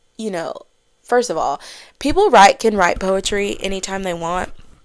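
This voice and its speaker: Speaking at a fairly quick pace, a woman sounds animated, her medium pitch moving with ordinary variation. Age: 20s. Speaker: podcast host. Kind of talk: casual chat.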